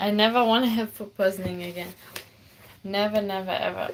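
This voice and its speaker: The speaker has a German accent. Noticeable background noise can be heard. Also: woman. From Germany. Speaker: armwrestler and streamer. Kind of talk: live-streamed cooking tutorial. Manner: casual, chatty.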